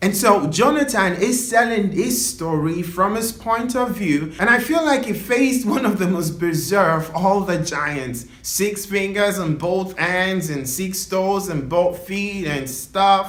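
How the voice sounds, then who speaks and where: A man with a high pitch and a playful tone uses lively intonation at a fairly slow pace, with hardly any pauses, over noticeable background noise. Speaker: storyteller. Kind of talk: casual talk to camera. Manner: chatty, playful.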